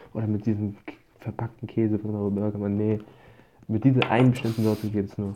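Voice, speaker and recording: A man with a fairly low, dark, mellow voice speaks very fast yet with long, frequent pauses, his intonation monotone and flat. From Germany, Darmstadt. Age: 20s. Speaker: podcast guest. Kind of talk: casual chat.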